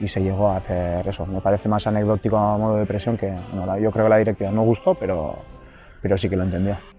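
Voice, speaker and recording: Music plays in the background as a man speaks very fast at a fairly low pitch with monotone, flat intonation. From Gipuzkoa, Basque Country, Spain. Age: 30s. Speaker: professional footballer. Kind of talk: interview answer.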